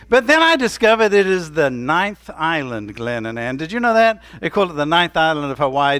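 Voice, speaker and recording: A man speaks at a fairly quick pace and fairly high pitch, his tone bright and sharp with lively intonation. The recording is very clean, with a silent background. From Tennessee. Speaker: pastor. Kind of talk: sermon. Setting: church.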